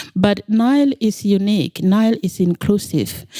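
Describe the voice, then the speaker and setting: This woman has a medium-pitched, dark, mellow tone and a non-native accent, speaking at a fairly slow pace with ordinary pitch variation in a dry, close sound with no echo. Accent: foreign. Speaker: nonprofit founder. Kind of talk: interview.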